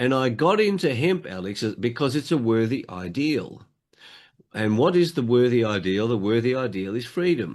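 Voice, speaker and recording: The background is quiet. A man with an Australian accent speaks with very wide pitch swings. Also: medium pitch for a man, moderate pace. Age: 70s. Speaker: motivational speaker and hemp advocate. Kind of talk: interview.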